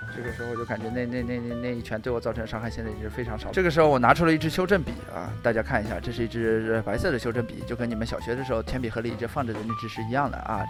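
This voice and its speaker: A man's very fast, lively delivery with hardly any pauses, music in the background. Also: medium pitch for a man. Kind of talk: joking improvised makeup voice-over. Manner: playful, rambling.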